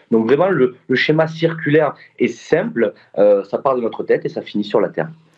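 A man speaks at a moderate pace with a southern French accent. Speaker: startup founder. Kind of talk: interview. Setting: video call. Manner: hesitant, many fillers.

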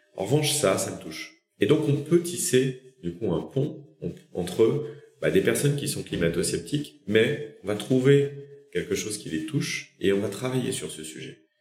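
Speaking fairly slowly with vocal fry, a man at medium pitch makes very wide pitch swings and big jumps in loudness. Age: 40s. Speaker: company founder and CEO. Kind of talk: interview.

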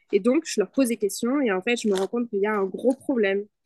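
Against a quiet background with a dry, close sound and no echo, a woman talks very fast in a high voice with lively intonation. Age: 20s. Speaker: digital communication consultant. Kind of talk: podcast interview.

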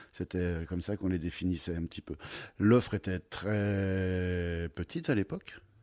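Very deep and low in pitch, a man's voice carries a dark, mellow tone. The recording is very clean, with a silent background. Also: fairly even intonation. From France, Troyes (Champagne). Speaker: wine merchant. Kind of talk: interview. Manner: halting, many repetitions.

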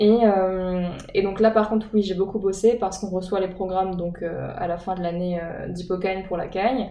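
A woman's medium-pitched, dark and mellow voice at a moderate pace, fairly even in intonation, with audible room echo. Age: 19. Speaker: student in preparatory literature class. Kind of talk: interview. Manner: hesitant, many fillers.

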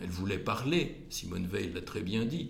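Lively in intonation, a man talks at a fairly slow pace in a fairly low, somewhat breathy voice. Audible room echo surrounds him. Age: 70s. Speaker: cardiologist and community leader. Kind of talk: interview. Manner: halting.

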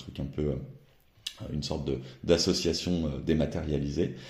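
A man talks at a moderate pace in a very deep, low voice with vocal fry and a dark, mellow tone. The room echo is audible. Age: 40s. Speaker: newspaper editor-in-chief. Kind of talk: interview.

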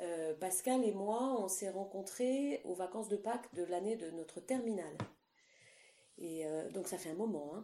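A woman's dark, mellow tone at medium pitch, delivered at a fairly slow pace. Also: ordinary pitch variation. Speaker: recorder player and music teacher. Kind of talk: interview. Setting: remote call during lockdown. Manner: hesitant, many fillers. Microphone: echo.

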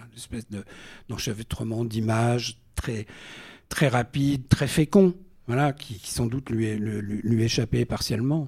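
Here a man with a medium pitch speaks at a fairly slow pace, somewhat breathy and with ordinary pitch variation. His loudness swings widely. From Normandy, France. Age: 60s. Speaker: singer-songwriter. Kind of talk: casual chat. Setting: stage with audience.

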